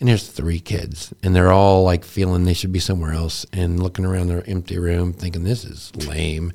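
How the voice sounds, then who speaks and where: In a very clean recording with a silent background, a man with an American accent speaks in a very deep, low pitch with a dark, mellow tone and monotone, flat intonation. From Texas. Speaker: pastor and podcast co-host. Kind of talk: casual chat. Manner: halting.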